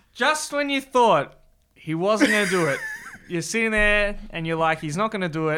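An animated voice with an Australian accent moves along at a fairly quick pace. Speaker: football show host. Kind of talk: casual banter podcast chat. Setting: studio, filmed video show. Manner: animated, joking.

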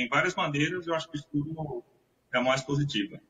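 A man's fairly high-pitched, an unremarkable speaking voice, with fairly even intonation. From São Vicente, Baixada Santista, Brazil. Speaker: IT professional. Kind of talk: interview.

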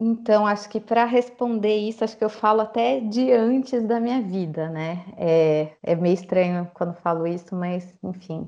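This woman has a dark, mellow tone and ordinary pitch variation. She talks fairly slowly with hardly any pauses. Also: medium pitch for a woman. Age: 30s. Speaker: social worker. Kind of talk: casual interview.

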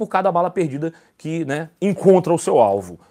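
A man speaks with lively intonation at a fairly slow pace. The recording is very clean, with a silent background. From Rio de Janeiro, Brazil. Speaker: political commentary streamer. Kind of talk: casual live stream commentary. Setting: live stream, wearing earphones. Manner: animated.

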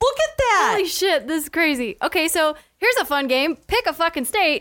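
A woman's raised, projected voice at an extremely high pitch, bright and sharp in tone, with very wide pitch swings at a fairly quick pace. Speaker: podcast co-host. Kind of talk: casual banter podcast.

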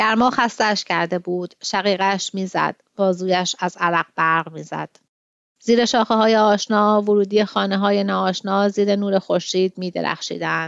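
Against a quiet background, a woman with an ordinary speaking voice talks at a fairly slow pace in a medium pitch, with fairly even intonation and a dry, close sound with no echo. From Iran, Tehran. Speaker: podcast host and literary translator. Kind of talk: literary commentary; reading aloud of a translated short story.

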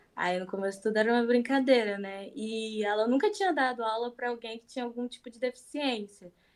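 A plain, everyday voice, belonging to a woman with fairly high pitch and ordinary pitch variation. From Rio de Janeiro, Brazil. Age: 20s. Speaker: painter. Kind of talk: interview conversation.

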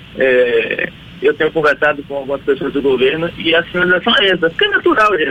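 A man speaks over noticeable background noise. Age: 30s. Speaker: state politician. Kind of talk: radio interview. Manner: halting.

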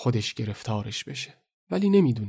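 A man speaks at a moderate pace in a fairly low, somewhat breathy voice. His intonation is lively. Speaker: storyteller podcast host. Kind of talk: dramatized storytelling. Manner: animated.

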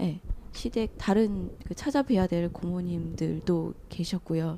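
Her tone is dark and mellow, her pitch fairly low for a woman. She speaks at a very slow pace. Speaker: audience participant. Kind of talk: casual group conversation. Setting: live public recording with audience.

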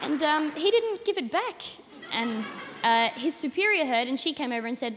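A woman with an Australian accent speaks at a moderate pace with lively intonation over noticeable background noise. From Australia, Adelaide. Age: young. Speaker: comedian. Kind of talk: stand-up. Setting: stage with audience.

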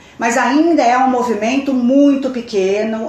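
Audible room echo surrounds a woman's voice. Noticeable background noise is present as well. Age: 50s. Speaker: educator and fashion designer. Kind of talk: casual chat.

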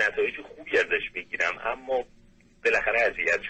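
A man talks at a moderate pace. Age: 30s. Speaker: caller, engineer. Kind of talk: call-in advice. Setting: phone call. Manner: halting.

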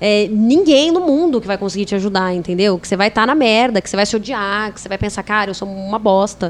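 Talking very fast with hardly any pauses, a woman with a medium pitch uses ordinary pitch variation while her loudness swings widely. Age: 20s. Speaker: podcast guest, yoga and spirituality enthusiast. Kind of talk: casual chat.

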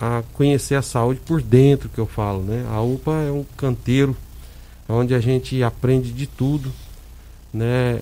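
A man speaks at a fairly slow pace, his medium-pitched voice carrying fairly even intonation. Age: 50s. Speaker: hospital administrator, former city councillor. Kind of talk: radio interview. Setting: radio studio. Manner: halting, many fillers.

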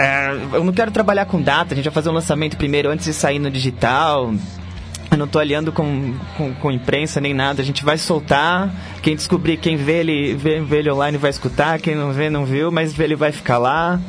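With music in the background, a man speaks fairly quickly at a fairly high pitch, his pitch varying in an ordinary way. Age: 20s. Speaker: rock guitarist and singer. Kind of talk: casual interview.

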